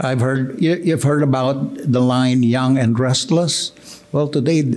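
A man talks fairly slowly while faint music sits in the background. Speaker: pastor. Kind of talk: sermon. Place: church. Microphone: podium.

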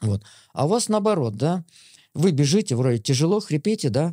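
Against a quiet background, a man with a fairly high pitch and a dark, mellow tone makes very wide pitch swings. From Smolensk region, Russia; Russia. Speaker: veteran distance runner and coach; running coach guest. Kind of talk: interview; interview answer. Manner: halting. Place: studio. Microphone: studio mic.

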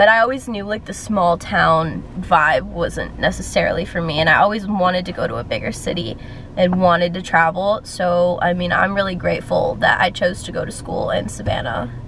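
A woman talks at a moderate pace with hardly any pauses. The sound is dry with no echo, with light background noise. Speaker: fashion vlogger. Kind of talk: casual vlog chat. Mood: warm and reflective. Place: car.

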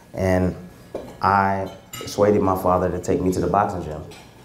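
A man with a very deep, low pitch talks in a monotone, flat intonation, with audible room echo and light background noise. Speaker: guest. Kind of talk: interview answer. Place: hall. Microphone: handheld.

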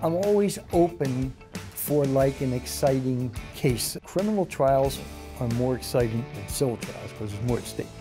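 A man's voice at medium pitch, lively intonation, and clear music in the background. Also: moderate pace. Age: 70s. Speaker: lawyer and police officer. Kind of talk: interview answer. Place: office. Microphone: lapel.

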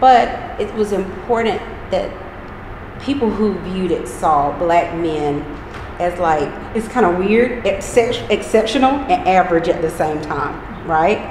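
A woman speaks with an eastern North Carolina accent. Her pace is fairly slow, and there is noticeable background noise. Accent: eastern North Carolina Southern. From US South, eastern North Carolina (Pitt County). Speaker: project founder. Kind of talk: interview.

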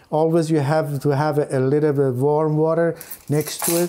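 A man talks at a moderate pace with fairly even intonation. Music plays in the background. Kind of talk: tutorial. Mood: calm, friendly. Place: kitchen. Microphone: lapel.

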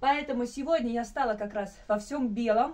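An animated, cheerful woman speaks at a high pitch and a moderate pace. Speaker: painter and video blogger. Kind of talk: casual vlog monologue. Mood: warm, cheerful. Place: home room. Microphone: phone near.

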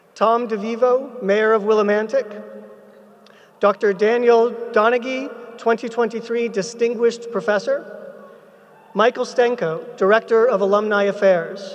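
The voice stays at a very even loudness, moving at a fairly slow pace with monotone, flat intonation. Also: man, extremely high pitch for a man. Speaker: ceremony presiding officer. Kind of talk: formal ceremony opening and closing remarks. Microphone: podium.

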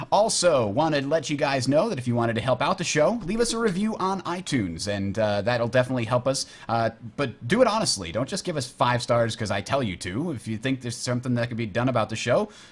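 In a somewhat breathy voice, a man races along at a very fast pace with very wide pitch swings. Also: hardly any pauses. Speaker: podcast host. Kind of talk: podcast intro chat. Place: home room. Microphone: headset.

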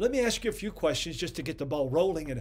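Against a quiet background, a man speaks with vocal fry and lively intonation. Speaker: ministry program host. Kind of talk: sermon. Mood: earnest, occasionally playful. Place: home room.

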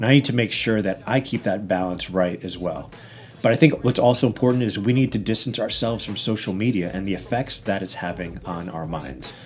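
Speaking fairly quickly with an American accent, a man has a fairly low voice with ordinary pitch variation. It is an ordinary speaking voice, with light background noise. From Long Island, New York; New York. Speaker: podcast host. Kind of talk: interview conversation; scripted podcast intro and outro. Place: studio.

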